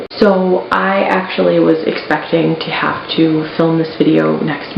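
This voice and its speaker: The speaker is soft-spoken, with noticeable background noise. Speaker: YouTuber unboxing collectibles. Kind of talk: casual unboxing vlog. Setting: at home in apartment office.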